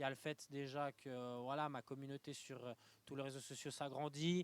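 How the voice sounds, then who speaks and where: A man's fairly high voice at a moderate pace, fairly even in intonation, with a dry, close sound and no echo. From Switzerland, Lausanne. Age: 20s. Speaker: young entrepreneur. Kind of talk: interview. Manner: halting, many fillers.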